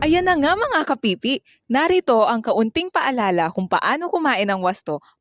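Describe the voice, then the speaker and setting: A woman with a high-pitched voice and very wide pitch swings speaks at a moderate pace, the sound dry and close with no echo. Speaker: student. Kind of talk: scripted health infomercial.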